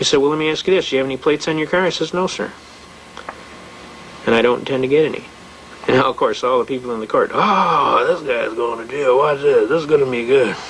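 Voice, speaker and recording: Amid noticeable background noise and audible room echo, a man with an American accent and a fairly high pitch talks very fast with ordinary pitch variation, yet leaves long, frequent pauses. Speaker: constitutional law lecturer. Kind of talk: lecture. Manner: animated.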